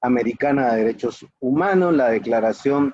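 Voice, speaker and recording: A man speaks at a medium pitch with a dark, mellow tone. His intonation is lively. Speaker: lecturer on human rights law. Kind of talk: lecture. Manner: fast.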